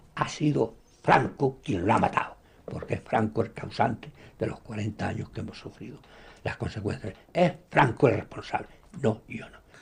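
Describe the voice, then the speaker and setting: A somewhat breathy man at a medium pitch and moderate pace, with lively intonation and big swings in loudness. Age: 80s+. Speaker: former anti-Franco guerrilla fighter. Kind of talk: documentary interview testimony.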